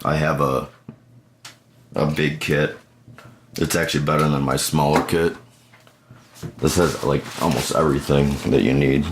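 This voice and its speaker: Over noticeable background noise, a man with a very deep, low pitch talks in a monotone, flat way, leaving long, frequent pauses. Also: moderate pace. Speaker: computer repair technician. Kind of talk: tutorial. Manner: casual, halting.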